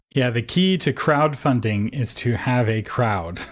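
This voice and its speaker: Pitch variation is ordinary in this unremarkable speaking voice. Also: man. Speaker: podcast host. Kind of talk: podcast interview.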